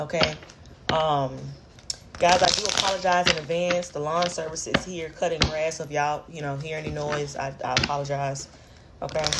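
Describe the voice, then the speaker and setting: A woman speaks with a very deep, low pitch and monotone, flat intonation. Noticeable background noise and audible room echo are present. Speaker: tarot reader. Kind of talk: tarot reading monologue. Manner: fast; hesitant, many fillers.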